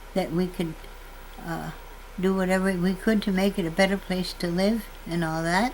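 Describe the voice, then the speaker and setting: A woman speaks at a medium pitch and a moderate pace. Her intonation stays fairly even against noticeable background noise. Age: 80s+. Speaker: farmer. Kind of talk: testimony. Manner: halting.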